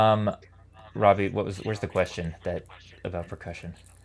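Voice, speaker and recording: Soft-spoken, a man with a very deep, low pitch talks at a fairly quick pace. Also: long, frequent pauses. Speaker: musician and arranger in a brass group. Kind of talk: casual chat.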